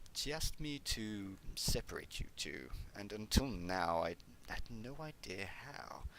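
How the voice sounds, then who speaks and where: A man performs a put-on character voice. Clear background noise runs behind him. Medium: read story. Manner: nonchalant, gleefully detached.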